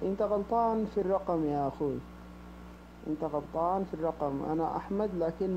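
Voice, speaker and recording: Speaking at a moderate pace, a man has a high pitch, a dark, mellow tone, and ordinary pitch variation. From Sudan. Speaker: prank target. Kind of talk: phone conversation. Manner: halting.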